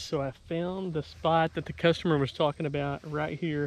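A man at a moderate pace with ordinary pitch variation, in a dry sound with no echo. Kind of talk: casual vlog chat. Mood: relieved, thankful. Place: open country.

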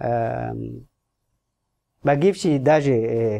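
The voice belongs to a man. It has a dark, mellow tone. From Djibouti. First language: not Russian (speaking Russian). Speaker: ambassador; guest. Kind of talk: radio interview. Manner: halting. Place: studio. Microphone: studio mic.

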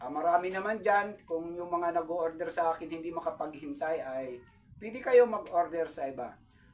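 Over noticeable background noise, a man speaks at a high pitch with ordinary pitch variation and big swings in loudness. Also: moderate pace. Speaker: YouTube vlogger and craftsman. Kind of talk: casual vlog talk to viewers. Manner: hesitant, many fillers.

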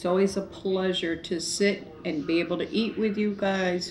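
Light background noise sits behind a woman as she talks. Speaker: eating show vlogger. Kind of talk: casual vlog chat. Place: home room. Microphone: camera far.

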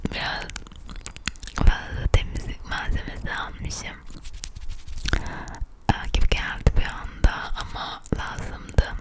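Whispering at a very slow pace, a woman leaves long, frequent pauses, her loudness swinging widely over noticeable background noise. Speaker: ASMR content creator. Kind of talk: ASMR vlog, casual talk to camera. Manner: close whisper, intimate.

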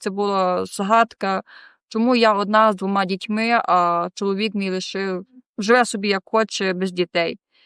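A woman speaks at a moderate pace with fairly even intonation, the recording very clean with a silent background and a dry, close sound with no echo. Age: 20s. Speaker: rehab center resident. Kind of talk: testimony. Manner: halting.

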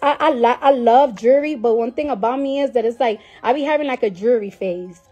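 Over faint background music, a woman talks at a very fast pace in a high voice with ordinary pitch variation. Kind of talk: casual live stream chat. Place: home room. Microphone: phone near.

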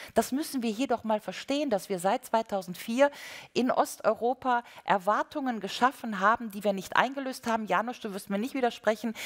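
Against a quiet background, a woman speaks at a fairly high pitch and a moderate pace with ordinary pitch variation. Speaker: panel discussant. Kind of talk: panel discussion argument. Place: hall.

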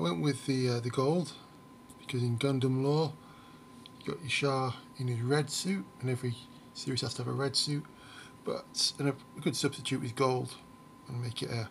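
A man speaks at a moderate pace, somewhat breathy, with long, frequent pauses. Light background noise can be heard. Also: ordinary pitch variation. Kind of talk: casual show-and-tell commentary. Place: home room. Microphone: phone near.

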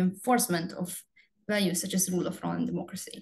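A somewhat breathy woman's voice with a Hungarian accent, medium in pitch and fairly quick in pace. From Hungary. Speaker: research assistant. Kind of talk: panel presentation. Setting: webinar video call.

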